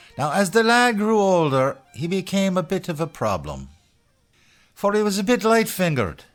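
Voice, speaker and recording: A man speaks with an American accent at a fairly slow pace. Music plays in the background. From Buffalo, New York. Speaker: storyteller. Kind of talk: Irish folk tale storytelling. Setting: studio.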